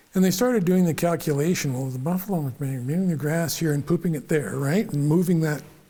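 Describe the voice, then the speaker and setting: A man with a western Canadian accent speaks at a very fast pace. His voice is dark and mellow, fairly high in pitch, with ordinary pitch variation. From western Canada (prairies). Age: 70s. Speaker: engineer / mentor interviewee. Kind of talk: casual chat. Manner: animated; halting, repeats words.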